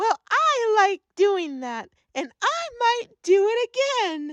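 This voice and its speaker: Here a woman puts on a character voice at an extremely high pitch. She speaks at a very slow pace. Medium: audio drama.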